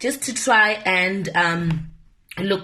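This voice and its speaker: In a room with audible echo, a woman speaks in an animated tone that is somewhat breathy. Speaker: media personality. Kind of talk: casual vlog monologue.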